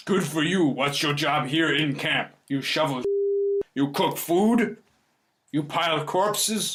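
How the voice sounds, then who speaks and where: Using a put-on character voice with a fairly high pitch, a man talks at a fairly slow pace with long, frequent pauses. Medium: actual play. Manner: terse, broken grammar.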